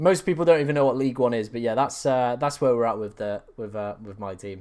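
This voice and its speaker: Very fast in pace, a man of medium pitch speaks with ordinary pitch variation in a very clean recording with a silent background. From England, East Midlands (Mansfield). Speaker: fantasy football YouTuber. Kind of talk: live stream Q&A with chat. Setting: live stream. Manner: casual, chatty.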